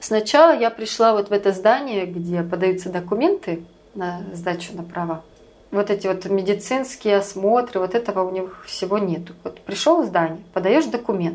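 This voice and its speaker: Calm in tone, a woman at medium pitch talks at a moderate pace with ordinary pitch variation. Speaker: emigrant sharing life abroad. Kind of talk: interview.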